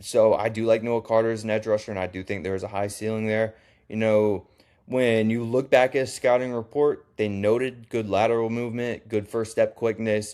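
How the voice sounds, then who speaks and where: In a very clean recording with a silent background, a man speaks in a normal speaking voice at a medium pitch and a moderate pace. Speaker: college football YouTuber. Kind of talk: casual sports commentary video. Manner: casual, with fillers and restarts.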